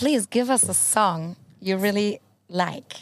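A woman's very slow speech with ordinary pitch variation, in a very clean recording against a silent background. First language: Spanish. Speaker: podcast co-host. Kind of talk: casual chat. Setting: outdoors. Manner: animated.

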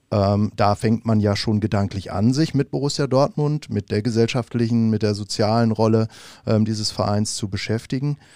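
A man's dark, mellow tone comes at a moderate pace with ordinary pitch variation. The recording is very clean and dry, close with no echo, over a silent background. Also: medium pitch for a man. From Bavaria, Munich. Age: 40s. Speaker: fan club chairman. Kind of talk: podcast interview. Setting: studio.

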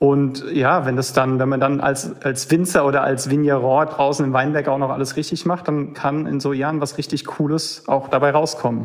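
Hardly pausing, a man speaks at a moderate pace and a fairly high pitch. His intonation is monotone and flat, with noticeable background noise behind him. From Rheinhessen, Germany. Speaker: winemaker. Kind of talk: casual chat. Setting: phone call.

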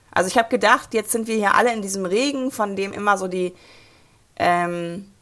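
A woman's plain, everyday voice at medium pitch, moderate in pace with ordinary pitch variation, on a very clean recording with a silent background. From rural Germany. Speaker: mobility activist and author. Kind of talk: interview.

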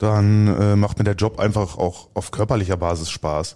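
In a very clean recording with a silent background, a man speaks at a fairly slow pace in a fairly low pitch, his dark, mellow tone showing ordinary pitch variation. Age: 30s. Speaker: road construction worker. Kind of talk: interview. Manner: hesitant, many fillers.

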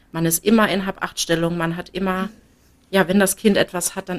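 The woman's medium-pitched voice carries a monotone, flat intonation. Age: 20s. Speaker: mother sharing experience. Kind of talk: interview.

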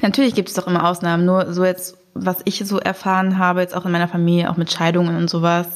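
Over noticeable background noise, a woman talks at a fairly quick pace. Her medium-pitched voice has monotone, flat intonation. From Germany (Braunschweig). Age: 20s. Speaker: student, blind date participant. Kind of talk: casual chat.

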